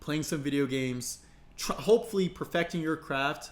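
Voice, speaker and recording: A man speaks at a fairly quick pace. His pitch sits fairly high and varies in an ordinary way. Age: 20s. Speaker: online personal trainer. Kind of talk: casual tutorial to camera. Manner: fast.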